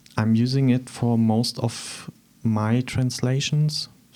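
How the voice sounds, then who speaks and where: A man's medium-pitched voice, dark and mellow in tone, very slow, with monotone, flat intonation. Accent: German. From eastern Germany, Thuringia. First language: German. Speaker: artist. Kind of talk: interview. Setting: studio.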